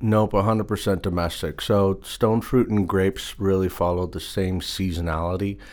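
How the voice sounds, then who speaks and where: A man has a normal speaking voice with a fairly low pitch and fairly even intonation. He talks at a moderate pace with hardly any pauses, on a very clean recording with a silent background. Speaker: produce sourcing manager. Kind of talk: interview. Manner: conversational, with filler words.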